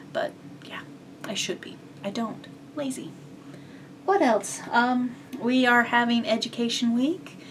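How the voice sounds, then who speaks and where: A woman's high voice at a fairly slow pace, with lively intonation, long and frequent pauses, big swings in loudness, and noticeable background noise. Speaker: cross-stitch vlogger. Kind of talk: casual chat. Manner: hesitant with fillers.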